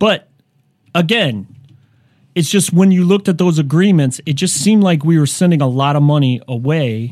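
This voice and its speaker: A man with an ordinary speaking voice talks at a moderate pace and fairly high pitch, using lively intonation and very even loudness. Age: 40s. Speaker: comedian. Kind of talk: casual chat.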